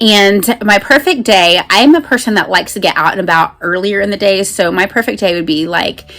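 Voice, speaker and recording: Over music in the background, the speech moves at a fairly quick pace with hardly any pauses and ordinary pitch variation. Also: woman, medium pitch for a woman. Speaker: BookTuber; mother. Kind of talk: casual talk to camera.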